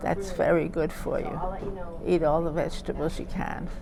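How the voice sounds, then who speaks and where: Noticeable background noise is present throughout. Against it, a woman talks fairly slowly. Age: 80s+. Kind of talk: interview answer. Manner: hesitant, repetitive.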